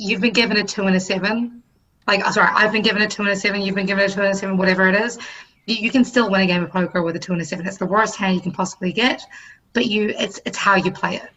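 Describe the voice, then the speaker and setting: A woman with a New Zealand accent and a medium pitch. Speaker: musician and podcaster. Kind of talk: casual chat.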